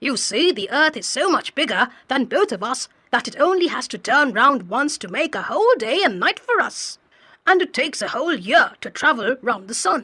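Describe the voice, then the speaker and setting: A high-pitched, female-sounding put-on character voice at a moderate pace. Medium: read story. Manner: patient, explanatory.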